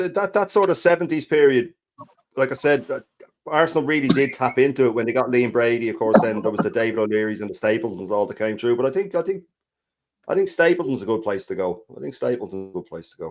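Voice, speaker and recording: Very fast speech in an Irish accent swings very widely in pitch. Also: man, medium pitch for a man. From Ireland. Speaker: football fan panelist. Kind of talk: casual live-stream chat. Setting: live stream.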